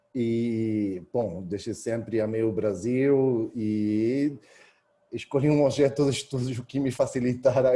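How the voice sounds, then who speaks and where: A man with an Argentine accent speaks in a dark, mellow tone at medium pitch, with ordinary pitch variation. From Argentina, Buenos Aires. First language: Spanish (speaking Portuguese). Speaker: historian, university researcher. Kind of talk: academic talk. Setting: video call.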